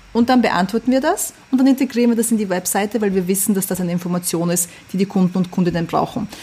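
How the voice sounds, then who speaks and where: Very fast and somewhat breathy, a woman speaks with a dark, mellow tone and ordinary pitch variation. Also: medium pitch for a woman. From Vienna, Austria. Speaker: fashion label founder. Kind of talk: interview. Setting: video call.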